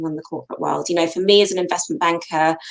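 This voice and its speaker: A woman speaks with a British accent. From UK. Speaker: co-founder of a careers platform. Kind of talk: interview.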